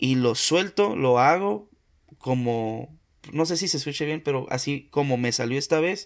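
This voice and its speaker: A man speaks in a normal speaking voice at a fairly slow pace. His pitch shows ordinary variation. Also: fairly high pitch for a man. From Mexico, Tampico, Tamaulipas. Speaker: podcaster. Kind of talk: casual chat.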